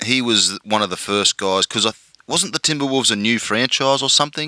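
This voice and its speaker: Dry and close with no echo, a man's medium-pitched voice moves at a fairly quick pace with a bright, sharp tone and ordinary pitch variation. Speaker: podcast host. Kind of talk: casual interview chat. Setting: podcast interview.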